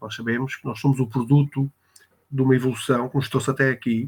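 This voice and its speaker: A man speaks with a European Portuguese accent at a medium pitch. His intonation is monotone and flat. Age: 60s. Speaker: spiritist speaker, reserve military officer. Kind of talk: talk on spiritism in an online interview. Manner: hesitant, many filler sounds.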